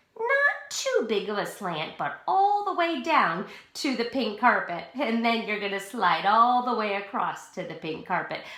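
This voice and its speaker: Amid audible room echo and noticeable background noise, a woman speaks at a fairly slow pace, her fairly high pitch swinging very widely. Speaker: pre-K teacher. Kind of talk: tutorial. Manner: slow, clear instructional.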